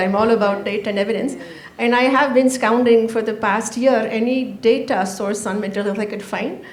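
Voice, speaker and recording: A loud woman talks at a fairly quick pace with ordinary pitch variation, amid noticeable background noise and audible room echo. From Canada. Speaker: panel moderator. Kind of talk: panel discussion.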